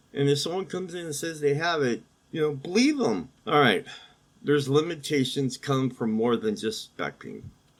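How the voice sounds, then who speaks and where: A man's fairly high voice with lively intonation, at a moderate pace. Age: 60s. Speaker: podcast host with chronic pain. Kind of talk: casual monologue mixed with reading aloud. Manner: halting, many fillers.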